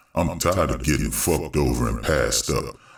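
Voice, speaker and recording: The man performs a cartoonish character voice. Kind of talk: comic street slang. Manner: profane, swaggering drawl.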